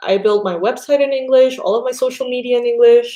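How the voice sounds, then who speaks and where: A woman speaks in a high pitch with very wide pitch swings. Her tone is dark and mellow. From Panama. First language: Spanish. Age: 30s. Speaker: tarot reader. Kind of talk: casual chat. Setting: live stream.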